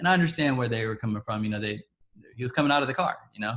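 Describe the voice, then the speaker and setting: A man speaks in a somewhat breathy voice. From Texas, Dallas (born in Ethiopia). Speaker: interviewee sharing personal story. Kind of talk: testimony. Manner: halting.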